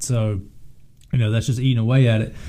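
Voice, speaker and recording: A man with a dark, mellow tone. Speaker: podcast co-host. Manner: conversational, casual.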